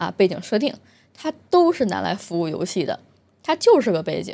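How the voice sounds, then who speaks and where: A woman's dark, mellow voice with a strong Beijing accent at a moderate pace, in a very clean recording with a silent background. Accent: heavy Beijing. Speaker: gaming video host. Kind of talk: solo casual commentary monologue.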